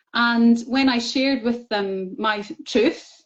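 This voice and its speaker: With a Scottish accent, a woman speaks in a fairly high pitch. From Scotland. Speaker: author sharing MS recovery story. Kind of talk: interview.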